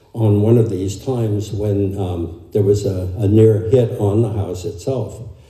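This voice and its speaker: In a room with audible echo, a man talks at a fairly low pitch and a fairly slow pace with monotone, flat intonation. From Germany. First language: German. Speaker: family member. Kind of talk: eulogy. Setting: memorial service. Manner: halting.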